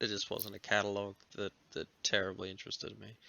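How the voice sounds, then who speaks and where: A man with an Australian accent talks at a very fast pace. His pitch is fairly low. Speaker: podcast host. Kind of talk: casual chat.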